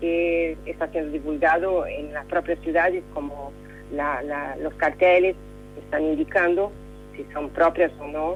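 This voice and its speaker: With music in the background, the speaker talks at a fairly slow pace in a Brazilian accent. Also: woman. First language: Portuguese (speaking Spanish). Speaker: correspondent. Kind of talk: radio interview. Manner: halting, many fillers.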